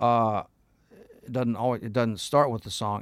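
On a very clean recording with a silent background, a speaker with an American accent talks at a moderate pace with fairly even intonation. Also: man. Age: 40s. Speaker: session guitarist. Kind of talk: casual chat. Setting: studio.

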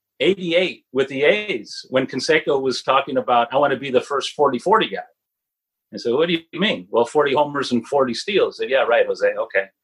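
A man talks at a moderate pace in an ordinary speaking voice, his intonation lively. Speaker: author. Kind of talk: casual interview chat.

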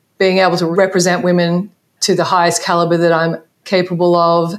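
The speaker uses an Australian accent and keeps a moderate pace. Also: woman. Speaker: basketball coach. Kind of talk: interview.

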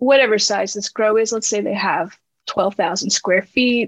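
In an American accent, a plain, everyday voice moves at a fairly slow pace with ordinary pitch variation, the sound dry and close with no echo. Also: woman. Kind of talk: interview.

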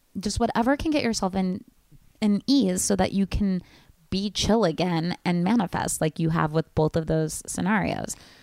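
In an ordinary speaking voice, a woman talks at a medium pitch and moderate pace with ordinary pitch variation, the sound dry and close with no echo. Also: very even loudness. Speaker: podcast host. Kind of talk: casual chat.

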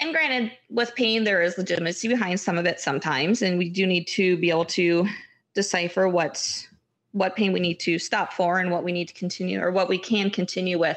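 A woman's medium-pitched voice at a fairly quick pace, with ordinary pitch variation, very even loudness and a quiet background. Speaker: physical therapist and running coach. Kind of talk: casual interview conversation. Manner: enthusiastic.

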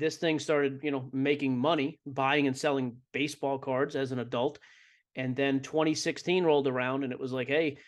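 A man with an American accent talks at a fairly quick pace and fairly high pitch in a plain, everyday voice, with a quiet background. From Boston. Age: 30s. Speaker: sports card podcaster and entrepreneur. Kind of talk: interview.

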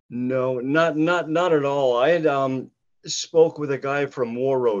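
Here is a man with an Upper Midwest accent at a medium pitch. He talks at a fairly slow pace with fairly even intonation. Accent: Upper Midwest (Minnesota). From northern Minnesota. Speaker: retired hockey player. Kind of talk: interview. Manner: halting.

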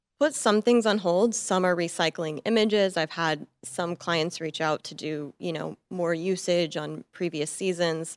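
In a plain, everyday voice, a woman speaks with an American accent at a fairly low pitch and a fairly slow pace, with hardly any pauses. The sound is dry and close, with no echo. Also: ordinary pitch variation, very clean recording, silent background. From US, Montana. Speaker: fashion photographer. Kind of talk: interview. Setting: studio.

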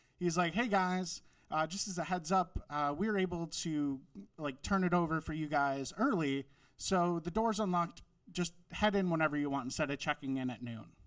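A man with an American accent speaks at a high pitch and moderate pace with ordinary pitch variation. The recording is very clean with a silent background. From Wisconsin. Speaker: comedian and author. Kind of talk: storytelling, stand-up.

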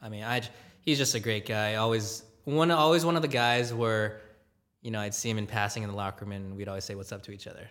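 Very fast speech with ordinary pitch variation and big swings in loudness rings with audible room echo. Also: man, fairly low pitch for a man. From Southern California (Gardena, LA County). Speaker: hockey team digital content producer. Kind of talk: casual interview chat. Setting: coffee shop.

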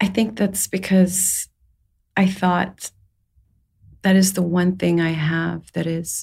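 A woman speaks at a medium pitch, somewhat breathy. Her intonation is monotone and flat. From Saudi Arabia. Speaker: storyteller and poet. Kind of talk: casual interview. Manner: hesitant, reflective.

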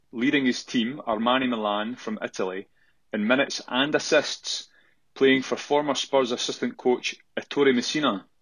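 This man speaks with a strong Scottish accent at a moderate pace. His pitch is medium and his intonation fairly even. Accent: thick Scottish. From Scotland. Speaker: listener caller. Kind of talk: recorded voice message quiz.

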